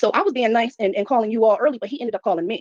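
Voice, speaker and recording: Talking at a very fast pace, a woman with a high voice comes through in a dry, close sound with no echo. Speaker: hotel front desk worker in a viral incident. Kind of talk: storytelling on a live stream. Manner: casual, fast storytelling with repeated words.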